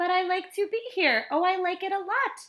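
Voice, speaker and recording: Using a put-on character voice, a woman squeaks out her words at a fairly quick pace in an extremely high pitch. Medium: read story. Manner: playful, showy.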